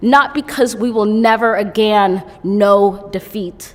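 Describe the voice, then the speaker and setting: A woman speaks with an American accent at a very slow pace. Her pitch sits in the medium range. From United States. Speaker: poet. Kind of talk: poetry reading.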